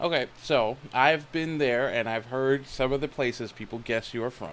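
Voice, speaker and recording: A man with an ordinary speaking voice and an American accent talks at a medium pitch and moderate pace with ordinary pitch variation. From United States. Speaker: talk show host. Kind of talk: interview.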